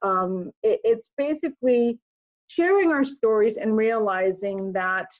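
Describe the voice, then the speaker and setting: Using an ordinary speaking voice, a woman talks at a fairly slow pace with fairly high pitch and lively intonation. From Connecticut, US East Coast (born Puerto Rico). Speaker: retired military officer and nurse practitioner. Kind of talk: podcast interview.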